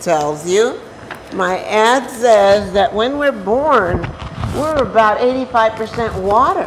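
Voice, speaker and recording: Amid noticeable background noise and audible room echo, a woman speaks with lively intonation at a fairly high pitch. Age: 60s. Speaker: hydration advocate. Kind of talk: guest talk on cooking show. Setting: senior center kitchen.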